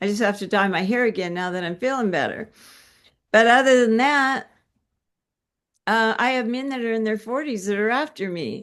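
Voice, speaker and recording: Against a quiet background, a woman with a fairly high pitch and ordinary pitch variation talks at a moderate pace, leaving long, frequent pauses. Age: 60s. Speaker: health coach. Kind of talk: casual chat. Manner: halting.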